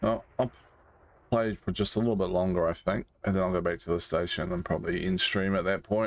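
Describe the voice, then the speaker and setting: A voice at a fairly quick pace, with fairly even intonation and very even loudness. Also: man, very deep, low pitch for a man. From Britain. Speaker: game streamer. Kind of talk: casual chat.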